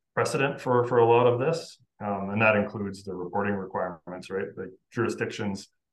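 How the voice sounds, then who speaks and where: With a Canadian accent, a man talks at a fairly quick pace and a fairly low pitch, his pitch varying in an ordinary way. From Saskatchewan, Canada. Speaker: lawyer. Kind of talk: interview. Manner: hesitant, many fillers and repeated words.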